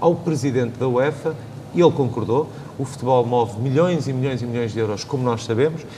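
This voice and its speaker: Against noticeable background noise, a man talks at medium pitch and a fairly quick pace, with ordinary pitch variation. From Portugal, Viseu (interior). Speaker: secretary of state for youth and sport. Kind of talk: panel discussion.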